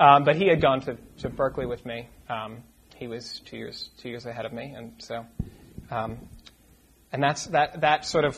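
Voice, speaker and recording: A man's medium-pitched, somewhat breathy voice with an American accent, a moderate pace, ordinary pitch variation, long, frequent pauses and big swings in loudness. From US New England, Lincoln, Massachusetts near Boston. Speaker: curate, church trainee. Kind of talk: casual interview before a church audience. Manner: halting, repeated words.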